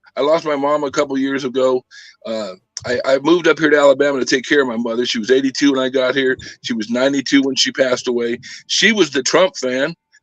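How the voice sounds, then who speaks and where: An American-accented man at a very fast pace with fairly even intonation. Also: medium pitch for a man. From Southern California. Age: 60s. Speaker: former prisoner. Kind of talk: interview.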